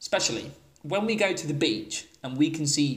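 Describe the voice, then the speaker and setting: A man with an English accent and fairly high pitch, speaking at a fairly slow pace, with noticeable background noise. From England. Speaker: English teacher and podcast host. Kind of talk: solo podcast monologue. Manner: casual, explanatory.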